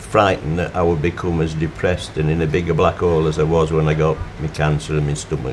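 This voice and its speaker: Someone with a Yorkshire accent talks at a fairly quick pace over noticeable background noise. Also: man. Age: 80s+. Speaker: motorcyclist. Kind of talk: interview testimony.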